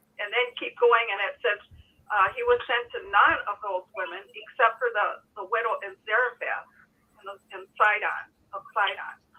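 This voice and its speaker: Speaking with an American accent, a woman with a fairly high pitch moves at a moderate pace, her intonation fairly even but her loudness swinging widely. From Wisconsin, US Upper Midwest. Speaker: former Jehovah's Witness, call-in participant. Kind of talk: reading aloud; casual chat.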